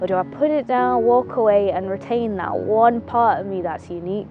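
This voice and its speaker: Over background music, a woman with a Mancunian accent speaks at a moderate pace, her pitch swinging very widely. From Manchester. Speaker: actor. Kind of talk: film monologue. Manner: reflective, casual.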